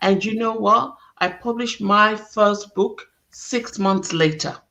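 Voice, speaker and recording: A woman speaks with a non-native accent and ordinary pitch variation. Her tone is bright and sharp. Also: medium pitch for a woman, fairly slow pace. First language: not English. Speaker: talk show host. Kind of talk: interview conversation.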